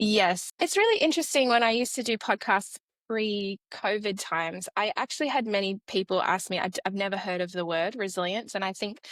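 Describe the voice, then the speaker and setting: On a very clean recording with a silent background and a dry, close sound with no echo, a woman talks at a fairly quick pace with lively intonation. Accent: Australian. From Australia. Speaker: educational psychologist. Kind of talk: podcast interview.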